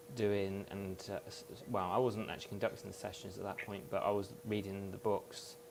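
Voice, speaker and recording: A man in a British accent talks at a moderate pace and a fairly low pitch. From UK. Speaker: hypnotherapist. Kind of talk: interview.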